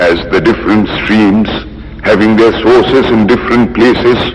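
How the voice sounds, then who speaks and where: A man is speaking, and noticeable background noise can be heard. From India. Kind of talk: formal public address at a religious convention.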